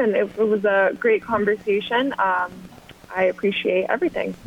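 A speaker with an American accent talks at a moderate pace with ordinary pitch variation. Noticeable background noise runs under the voice. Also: woman. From US South, Augusta, Georgia. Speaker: golf club membership manager, former pro golfer. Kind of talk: radio interview.

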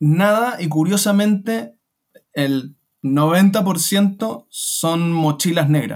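A man's high-pitched voice at a very slow pace. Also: ordinary pitch variation. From Chile. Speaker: online seller. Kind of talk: interview.

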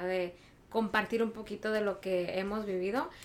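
Amid noticeable background noise, a woman speaks with fairly even intonation. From Mexico, Michoacán. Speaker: podcast guest. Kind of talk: casual chat.

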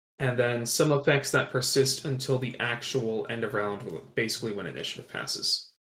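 A man talks at a moderate pace in a medium pitch. His voice is somewhat breathy, with fairly even intonation. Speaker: podcast co-host. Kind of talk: casual chat. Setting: remote recording.

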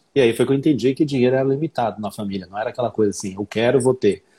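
Somewhat breathy and dark and mellow in tone, a man's medium-pitched voice has ordinary pitch variation. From southern and northern Brazil (Paraná, Rondônia). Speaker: English teacher and author. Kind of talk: casual chat.

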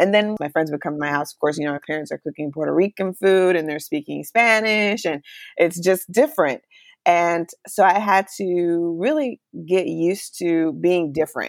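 A woman with an American accent and an ordinary speaking voice, fairly low pitch, ordinary pitch variation and a moderate pace, on a very clean, silent-background recording with a dry, close sound and no echo. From Charlotte, North Carolina, US. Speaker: former TV journalist. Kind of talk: interview.

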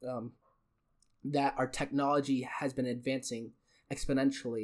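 A man's fairly high voice with a Western US accent, at a moderate pace, on a very clean recording with a silent background. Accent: American (Western US). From Utah and China. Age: young. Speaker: podcast host, university student. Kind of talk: casual solo monologue. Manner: halting, with frequent fillers and word slips; unscripted, off the cuff.

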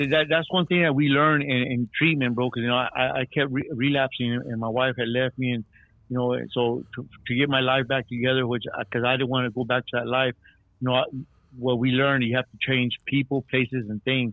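A man with a normal speaking voice and an American accent speaks fairly quickly at a medium pitch, his intonation fairly even. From Texas. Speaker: caller, former gang member. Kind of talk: call-in shout-out. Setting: phone call.

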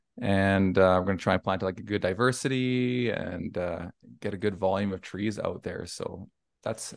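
A man talks at a moderate pace with a fairly low pitch and fairly even intonation. The background is quiet. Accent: western Canadian. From Alberta, Canada. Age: 40s. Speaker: arborist, tree service owner. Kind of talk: casual interview.

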